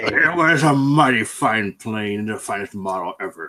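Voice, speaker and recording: With a medium pitch and a moderate pace, a man puts on a character voice. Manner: talking around a pipe in the mouth, pirate-like.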